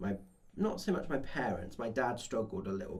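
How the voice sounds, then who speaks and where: A somewhat breathy man at a moderate pace, with audible room echo. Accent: English. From England, small town. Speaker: podcast co-host. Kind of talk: casual chat.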